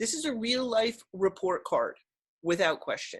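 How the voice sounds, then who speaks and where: A woman speaks at a very slow pace with a fairly high pitch. Her voice is somewhat breathy, and her intonation is lively. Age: 60s. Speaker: educator and plant-based diet advocate. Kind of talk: interview. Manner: animated.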